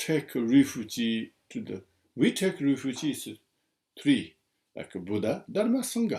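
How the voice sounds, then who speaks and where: A man with a strong non-native accent speaks in a dark, mellow tone at a fairly high pitch, his pitch swinging very widely. The recording is very clean, with a silent background. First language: Tibetan. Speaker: Buddhist teacher. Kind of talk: dharma teaching. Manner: halting.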